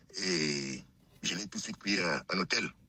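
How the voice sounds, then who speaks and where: The speaker is a man. Background noise is clearly audible throughout. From Cameroon. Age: 60s. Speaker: caller telling his life story. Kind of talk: testimony. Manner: halting, many hesitations.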